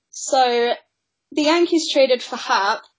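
A woman's voice moves at a fairly slow pace, its pitch varying in an ordinary way. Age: 20s. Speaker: podcast co-host, sports journalist. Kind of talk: casual chat. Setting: Skype call.

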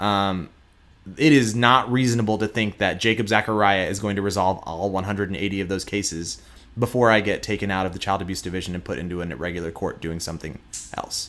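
A man with a slight Texan accent, fairly low in pitch, fairly quick, with ordinary pitch variation. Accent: Texan twang, slight. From Houston, Texas. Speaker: prosecutor. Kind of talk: casual interview conversation.

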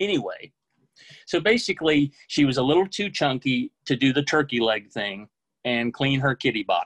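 A man with a plain, everyday voice, fairly high in pitch, with an American accent, lively intonation and a moderate pace, in a dry, close sound with no echo. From US South (Oklahoma, Texas, Mississippi). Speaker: book editor, storyteller. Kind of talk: personal storytelling. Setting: video call.

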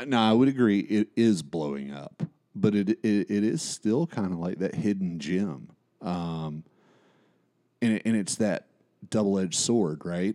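Lively intonation and a dark, mellow tone come through at a fairly slow pace in a very clean recording with a silent background and a dry, close sound with no echo. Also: man, fairly low pitch for a man. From East Tennessee. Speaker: podcast host. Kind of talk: casual chat.

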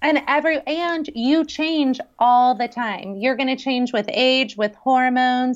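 A woman with an American accent speaks in a high pitch at a fairly slow pace. She hardly pauses, and her pitch varies in an ordinary way. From US West Coast, San Francisco Bay Area. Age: 40s. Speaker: chef and health coach. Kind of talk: casual interview. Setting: call.

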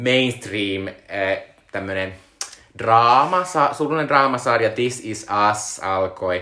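A man's voice amid noticeable background noise. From Finland, Joensuu. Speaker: podcast co-host. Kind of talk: casual chat. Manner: hesitant, many filler sounds.

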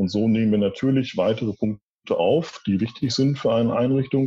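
The man's voice sits at a medium pitch with a dark, mellow tone. It comes across somewhat breathy. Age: 40s. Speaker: department head at a wholesale company. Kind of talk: interview. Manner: formal.

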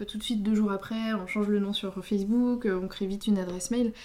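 Fairly quick in pace, a woman speaks at medium pitch with fairly even intonation. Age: 30s. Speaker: podcast co-host. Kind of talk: casual chat. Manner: halting.

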